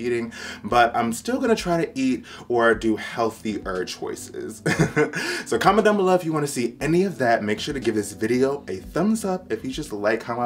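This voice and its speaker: Faint background music under a man speaking at a moderate pace. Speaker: fitness vlogger. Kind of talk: casual vlog chat. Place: home room. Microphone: camera far.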